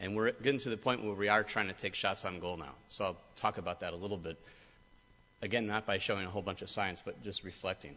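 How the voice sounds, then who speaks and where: A man at a very fast pace, his tone bright and sharp, his intonation fairly even. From US Midwest, Michigan. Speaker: cancer researcher. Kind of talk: speech to an audience. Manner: hesitant, many fillers.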